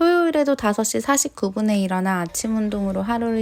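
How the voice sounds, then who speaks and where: Her voice, an unremarkable speaking voice at a medium pitch, carries lively intonation. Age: 30s. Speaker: vlogger. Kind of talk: scripted narration.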